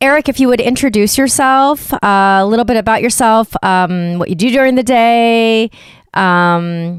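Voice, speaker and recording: In an American accent, a woman speaks at a fairly slow pace and fairly high pitch with ordinary pitch variation. She has an ordinary speaking voice, in a very clean recording with a silent background. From Ohio, US Midwest. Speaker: podcast host, dancer. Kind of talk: casual interview.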